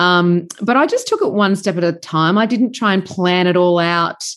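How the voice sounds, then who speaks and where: With an Australian accent, a woman speaks using lively intonation. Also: quiet background. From Sydney, Australia. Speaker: farmer and podcaster, former journalist. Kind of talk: casual interview.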